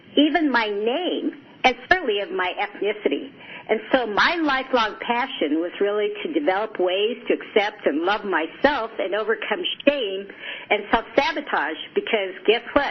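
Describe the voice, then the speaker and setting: A woman's fairly high voice with very wide pitch swings at a moderate pace, over noticeable background noise. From Japan, moved to US at age seven. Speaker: psychologist and life coach. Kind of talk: radio interview.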